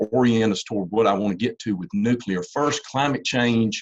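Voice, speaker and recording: Speaking at a fairly quick pace, a man with a Southern US accent uses a medium pitch and ordinary pitch variation. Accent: Southern US (Georgia). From US South, Georgia. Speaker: university engineering professor and policy fellow. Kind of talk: lecture. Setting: video call webinar. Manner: halting, many repetitions.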